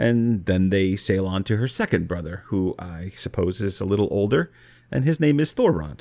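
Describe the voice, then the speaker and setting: A plain, everyday voice from a man, fairly low-pitched with lively intonation, at a moderate pace on a very clean recording with a silent background. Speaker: podcast host and college teacher. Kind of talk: casual chat discussing a saga.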